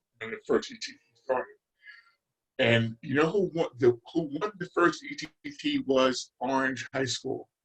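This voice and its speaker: Over music in the background, a man with an American accent speaks at a moderate pace with a fairly high pitch, lively intonation, big swings in loudness, and long, frequent pauses. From New Jersey, Newark. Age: 70s. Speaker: retired basketball coach. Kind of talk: interview. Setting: podcast.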